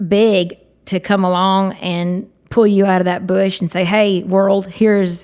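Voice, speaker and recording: A woman speaks in a Southern US accent with monotone, flat intonation. The recording is very clean with a silent background. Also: hardly any pauses. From Georgia, USA. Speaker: country singer and guitarist. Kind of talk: podcast interview answer.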